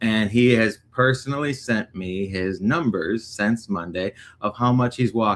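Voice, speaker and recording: An unremarkable speaking voice with an American accent, at a fairly slow pace with ordinary pitch variation, in a very clean recording with a silent background. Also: man, medium pitch for a man. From Northwest Indiana. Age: 30s. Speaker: recovery livestream host. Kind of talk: casual chat. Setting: livestream.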